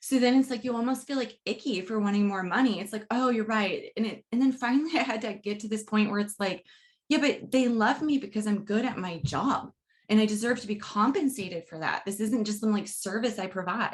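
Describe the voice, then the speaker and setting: Somewhat breathy and fairly high-pitched, a woman speaks at a fairly quick pace with ordinary pitch variation. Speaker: podcast host and university communication educator. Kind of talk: casual interview.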